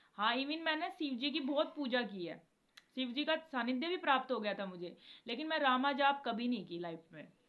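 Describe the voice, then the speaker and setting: A woman's high voice with very wide pitch swings. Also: moderate pace. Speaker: devotional video creator. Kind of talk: casual devotional talk to viewers.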